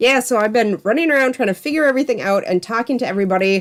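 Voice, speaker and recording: A woman speaks in an animated tone. Her pitch varies in an ordinary way. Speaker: artist and art channel host. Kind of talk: livestream casual chat. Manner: loud.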